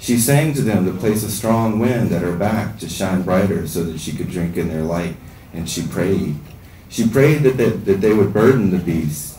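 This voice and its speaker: A man with an American accent, fairly low in pitch, with lively intonation and a moderate pace, in a room with audible echo and light background noise. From Southern US. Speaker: writer. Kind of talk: fiction reading at open mic. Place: stage.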